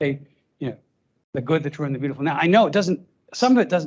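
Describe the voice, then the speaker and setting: A man's fairly high, somewhat breathy voice with lively intonation. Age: 60s. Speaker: politics professor. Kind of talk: lecture Q&A. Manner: halting, many fillers and restarts.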